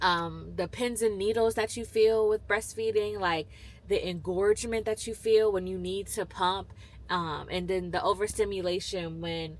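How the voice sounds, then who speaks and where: Her medium-pitched voice moves with fairly even intonation as the woman speaks. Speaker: vlogger. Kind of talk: casual chat. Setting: in a car. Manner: halting.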